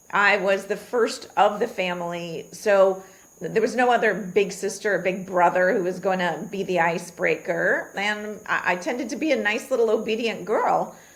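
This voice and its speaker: A woman speaks at a moderate pace with hardly any pauses. Her medium-pitched voice shows ordinary pitch variation. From Queens, New York. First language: Gujarati. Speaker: physician. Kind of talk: interview conversation.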